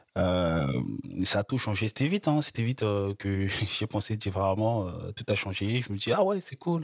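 Fairly slow man's voice, fairly low in pitch, the sound dry and close with no echo. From Republic of the Congo. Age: 20s. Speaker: student. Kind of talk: interview. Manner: halting.

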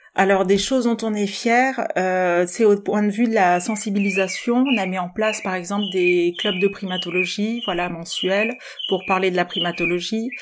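A woman talks at a moderate pace and a medium pitch with ordinary variation. Noticeable background noise is present. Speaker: socio-anthropologist and primate charity volunteer. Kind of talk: interview. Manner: hesitant, many fillers.

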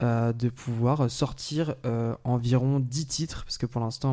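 In a very clean recording with a silent background, a man with a dark, mellow tone talks at medium pitch with fairly even intonation. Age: 20s. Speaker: independent musician. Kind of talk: casual interview chat.

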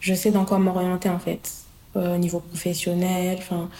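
A woman's voice sits at a medium pitch. Her pace is fairly slow. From Paris suburbs (Hauts-de-Seine). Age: 20s. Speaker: young worker in social housing. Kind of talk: interview testimony. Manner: hesitant, many fillers.

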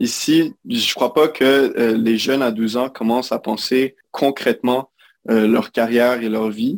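A man's medium-pitched voice at a very slow pace, with fairly even intonation in a dry, close sound with no echo. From Quebec. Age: 20s. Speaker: recent computer science graduate. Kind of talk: interview conversation. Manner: halting.

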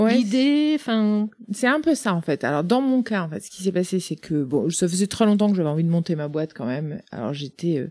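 Very wide pitch swings and big swings in loudness run through a woman's dark, mellow, medium-pitched voice as she talks at a fairly quick pace with hardly any pauses, on a very clean recording with a silent background. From Brittany, Côtes d'Armor. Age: 40s. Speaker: startup founder. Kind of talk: interview.

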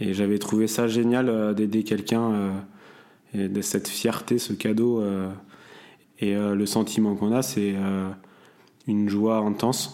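A man speaks with a fairly low pitch and a dark, mellow tone. His intonation is monotone and flat. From Brittany, France (near Saint-Malo). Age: 20s. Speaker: merchant navy officer. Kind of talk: personal testimony interview. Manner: hesitant, many fillers.

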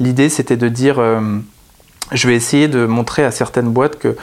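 His intonation fairly even, a man speaks at medium pitch and a moderate pace. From northern France (Picardy). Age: 30s. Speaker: wine author and explorer. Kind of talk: interview. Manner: hesitant, with many fillers.

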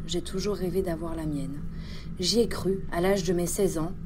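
With a calm, deadpan tone and monotone, flat intonation, a woman speaks at a fairly low pitch and a moderate pace over noticeable background noise. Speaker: narrator playing a historical female killer. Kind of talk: true-crime first-person narration, dramatized confession. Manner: calm, matter-of-fact, deadpan.

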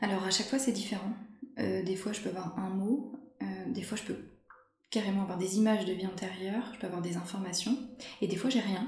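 A soft-spoken woman at a medium pitch with a gentle tone and fairly even intonation, a fairly quick pace broken by long, frequent pauses, audible room echo and noticeable background noise. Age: 40s. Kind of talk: interview. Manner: gentle, soft-spoken.

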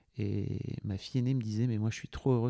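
In a very clean recording with a silent background and a dry, close sound with no echo, a man speaks with a fairly low pitch, a dark, mellow tone and ordinary pitch variation. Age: 40s. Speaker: podcast producer. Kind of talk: casual chat. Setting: at guest's home. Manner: halting.

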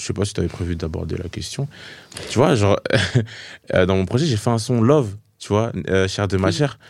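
Fairly low in pitch, a man speaks at a moderate pace with ordinary pitch variation. The recording is very clean, with a silent background. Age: 20s. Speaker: gospel artist. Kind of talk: casual interview. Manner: hesitant, many fillers.

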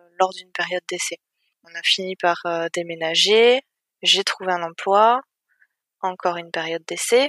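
At a moderate pace and medium pitch, a woman speaks with fairly even intonation, long, frequent pauses and big swings in loudness, in a dry, close sound with no echo. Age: 30s. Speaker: IT project manager. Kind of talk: interview testimony. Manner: hesitant.

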